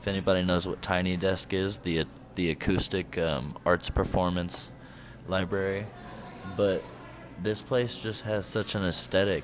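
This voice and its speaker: A man with an American accent and a very deep, low pitch speaks at a moderate pace with fairly even intonation and long, frequent pauses, music in the background. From Indiana. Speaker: podcast co-host. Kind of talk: casual chat. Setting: bar or cafe with live band.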